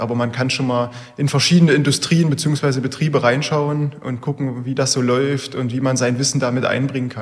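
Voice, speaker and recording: Amid noticeable background noise, a man of medium pitch talks at a fairly quick pace with fairly even intonation. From Saxony-Anhalt (Bernburg). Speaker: engineering student. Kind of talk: interview.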